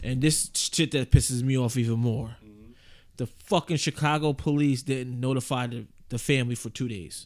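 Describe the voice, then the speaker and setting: Recorded very cleanly against a silent background, a man with an ordinary speaking voice talks at a moderate pace and a medium pitch with ordinary pitch variation. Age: 30s. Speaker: podcast co-host. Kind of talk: casual chat.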